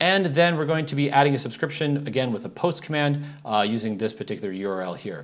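Talking very fast, a man lets his pitch swing very widely. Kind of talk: tutorial.

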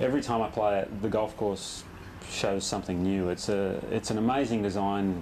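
Speaking at a moderate pace with an Australian accent, a man keeps a fairly low pitch, fairly even intonation and very even loudness over light background noise. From Western Australia, Perth. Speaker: professional golfer. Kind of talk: interview. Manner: halting, many repetitions and fillers. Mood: relaxed, friendly. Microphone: lapel.

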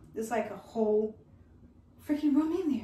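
A woman with lively intonation, audible room echo and light background noise. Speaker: fashion and lifestyle vlogger; lifestyle vlogger. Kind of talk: casual product try-on review. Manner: animated, chatty. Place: home room. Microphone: camera far.

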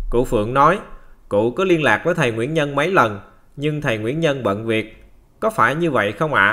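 A man's medium-pitched voice, bright and sharp in tone, with lively intonation at a moderate pace, on a very clean recording with a silent background. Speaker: program announcer and reader. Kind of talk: reading aloud. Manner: formal.

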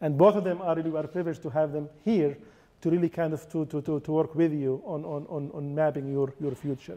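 A man talks at a fairly quick pace. His intonation is fairly even. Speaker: nonprofit president. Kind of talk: speech introducing speakers. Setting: stage with audience. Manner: halting, many fillers and repetitions. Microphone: handheld.

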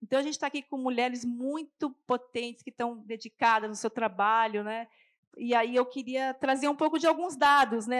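Against a quiet background, a woman's high voice shows ordinary pitch variation. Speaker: festival curator, cook and debate moderator. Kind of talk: panel debate moderation. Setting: stage with live audience. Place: stage. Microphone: handheld.

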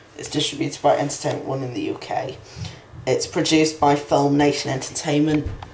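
Someone with a British accent talks at a fairly quick pace over noticeable background noise. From UK. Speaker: video collector and reviewer. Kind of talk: casual video review. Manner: halting.

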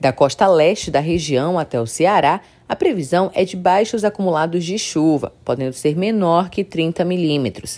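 With hardly any pauses, a woman speaks at a fairly low pitch in a dark, mellow tone. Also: ordinary pitch variation, moderate pace. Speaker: news reader. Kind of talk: scripted weather report read aloud, steady and formal. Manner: formal, even-paced, neutral newsreader delivery.

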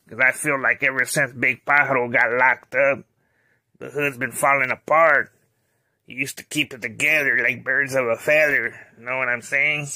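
Monotone and flat, a man speaks at a moderate pace and medium pitch. His loudness swings widely. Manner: measured, brooding.

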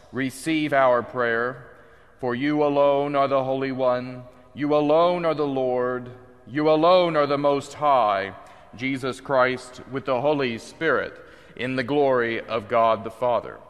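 A man talks at a fairly slow pace with fairly even intonation while music plays in the background. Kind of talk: liturgical reading. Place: church.

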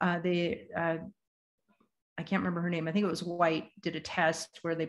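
A woman with an American accent speaks fairly quickly at a fairly low pitch. Her intonation is monotone and flat, and the background is quiet. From US Pacific Northwest. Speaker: bee gardening presenter. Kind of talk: lecture with slides. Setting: video call with screen share. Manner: casual, conversational. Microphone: video call.

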